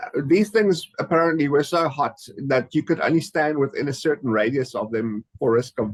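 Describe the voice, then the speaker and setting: Here is a normal speaking voice from a man with a fairly high pitch. He talks at a moderate pace with lively intonation. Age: 50s. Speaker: podcast host. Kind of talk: interview.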